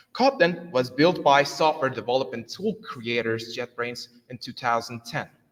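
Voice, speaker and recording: At a moderate pace and with hardly any pauses, a man with a Turkish accent speaks at a medium pitch with ordinary pitch variation. His loudness swings a lot. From Turkey. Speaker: software developer. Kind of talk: conference talk. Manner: halting, many fillers.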